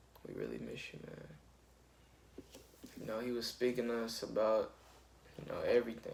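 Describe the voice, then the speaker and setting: A man talks at a moderate pace, leaving long, frequent pauses. His loudness swings widely, and the room echo is audible. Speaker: youtuber and musician. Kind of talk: casual vlog talk. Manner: halting.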